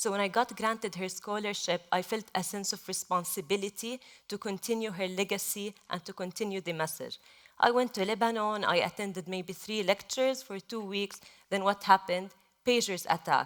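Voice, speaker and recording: The speaker talks at a moderate pace with an Arabic accent and fairly even intonation. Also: woman, medium pitch for a woman. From Gaza, Palestine. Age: 20s. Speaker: journalist. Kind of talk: panel talk.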